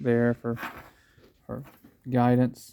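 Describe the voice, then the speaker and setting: A man talks very slowly at a medium pitch with a dark, mellow tone. The sound is dry and close, with no echo. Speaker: DIY car repair youtuber. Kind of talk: tutorial. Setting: outdoors. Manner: casual.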